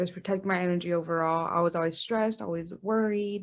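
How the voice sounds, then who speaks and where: A woman with an American accent talks at a fairly quick pace in a fairly low pitch, with fairly even intonation. It is a normal speaking voice. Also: quiet background. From Texas border region. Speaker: guest sharing fertility journey. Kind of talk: interview podcast.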